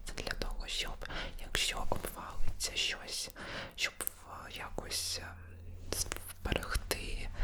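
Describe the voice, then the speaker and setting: A man whispers very slowly, leaving long, frequent pauses, as noticeable background noise plays behind him. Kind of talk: casual talk to camera, personal storytelling. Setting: ASMR studio recording, close mic. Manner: whispered, soft-spoken.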